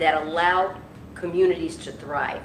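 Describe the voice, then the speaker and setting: A woman's medium-pitched voice at a moderate pace, with audible room echo. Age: 70s. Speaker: public official. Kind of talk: speech at church service. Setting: church. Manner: halting.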